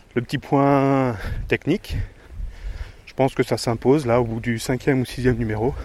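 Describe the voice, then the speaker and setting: This man talks fairly slowly, his medium pitch rising and falling in an ordinary way. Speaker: podcaster. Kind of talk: casual monologue. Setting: outdoors, countryside. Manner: halting, stumbling.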